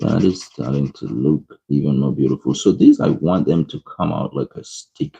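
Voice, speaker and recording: A man with a non-native accent at a moderate pace, hardly pausing, in a dry, close sound with no echo. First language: not English. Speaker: art streamer. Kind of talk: live-stream coloring tutorial with chat. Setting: live stream. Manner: casual, chatty.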